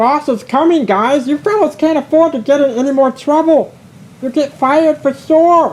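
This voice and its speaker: This put-on character voice is high-pitched, squeaky and croaky, with a hissing sound running through it. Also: moderate pace. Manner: hissing, urgent.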